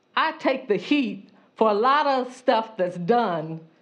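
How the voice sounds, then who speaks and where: A woman's fairly high voice with lively intonation at a very slow pace, with audible room echo. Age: 70s. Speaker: city employee. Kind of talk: public statement at meeting. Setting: city council meeting.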